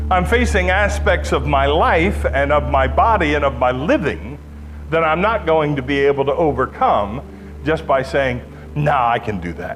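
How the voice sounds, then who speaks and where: Music plays in the background as a man with a very deep, low voice makes very wide pitch swings amid audible room echo. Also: moderate pace. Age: 60s. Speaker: pastor. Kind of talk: sermon.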